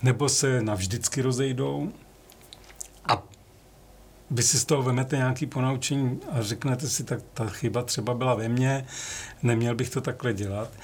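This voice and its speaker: A man's somewhat breathy voice holds a fairly even intonation, broken by long, frequent pauses. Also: medium pitch for a man, moderate pace. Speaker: music photographer. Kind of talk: interview.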